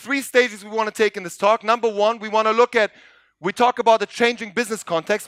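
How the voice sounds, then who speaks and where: Loud and animated, a man speaks at a fairly quick pace in a high pitch. The recording is very clean with a silent background and a dry, close sound with no echo. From Montenegro. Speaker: business coach and educator. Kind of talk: conference keynote talk. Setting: stage with audience.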